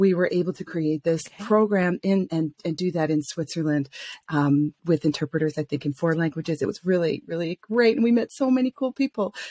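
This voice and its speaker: A woman with an American accent talks at a fairly quick pace. Her tone is dark and mellow, recorded dry and close with no echo. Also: lively intonation, hardly any pauses. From US South, Atlanta, Georgia. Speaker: coach and vocational psychologist. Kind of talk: interview.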